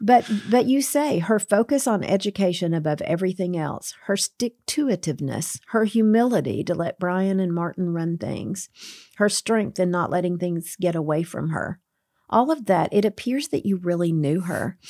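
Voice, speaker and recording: In a dry, close recording that is very clean with a silent background and no echo, a woman of medium pitch speaks at a moderate pace with lively intonation and a dark, mellow tone. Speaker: curriculum director at a publisher. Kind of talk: casual interview. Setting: studio. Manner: loud.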